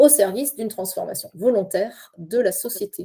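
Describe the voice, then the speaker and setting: A woman's fairly high voice has a dark, mellow tone and ordinary pitch variation. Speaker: university researcher and lecturer. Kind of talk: casual chat; conference talk. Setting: video call. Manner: fast; halting.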